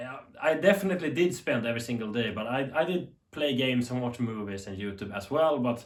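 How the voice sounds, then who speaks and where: A man talks with a strong Swedish accent at a moderate pace. His pitch is medium, with ordinary pitch variation. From Sweden. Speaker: TV tech YouTuber. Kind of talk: unscripted commentary. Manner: animated.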